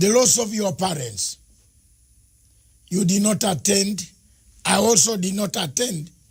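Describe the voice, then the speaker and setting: This man's pitch is high with ordinary variation. He speaks at a fairly slow pace. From Uganda. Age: 60s. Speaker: TV interviewer. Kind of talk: interview. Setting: studio.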